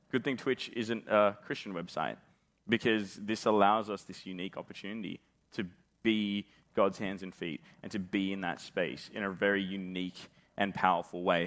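A man with an Australian accent talks at a moderate pace and a fairly low pitch. His intonation is fairly even, with big swings in loudness. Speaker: pastor. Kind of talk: conference talk.

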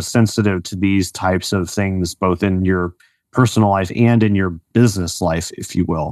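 A man speaks in an unremarkable speaking voice. His pitch sits fairly low. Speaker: podcast host. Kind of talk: interview, conversational.

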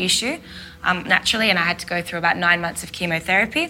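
The speaker is a woman. She talks with an Australian accent. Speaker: lived experience representative, lawyer. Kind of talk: panel discussion, personal testimony. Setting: stage with live audience.

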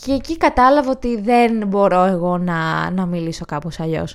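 Lively intonation marks a woman's unremarkable speaking voice, with a medium pitch and a moderate pace. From northern Greece, Edessa. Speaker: comedian and YouTuber. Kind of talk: casual chat.

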